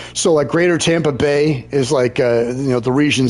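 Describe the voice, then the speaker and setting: Against noticeable background noise, a man with an American accent speaks at medium pitch and a fairly quick pace with fairly even intonation. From Maryland, US Mid-Atlantic. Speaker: gaming streamer. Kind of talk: casual chat. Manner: halting, many fillers and repetitions.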